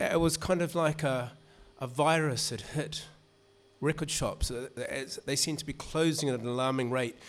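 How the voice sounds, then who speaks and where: A man with a New Zealand accent speaks at a moderate pace and a fairly high pitch, with fairly even intonation and long, frequent pauses. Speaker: music writer and author. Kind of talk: reading and talk. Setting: stage with audience. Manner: casual.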